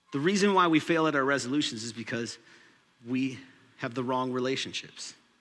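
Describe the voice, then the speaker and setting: A man with an American accent talks at a fairly quick pace. His medium-pitched voice has ordinary pitch variation, with audible room echo. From Minnesota, US. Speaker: pastor. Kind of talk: sermon.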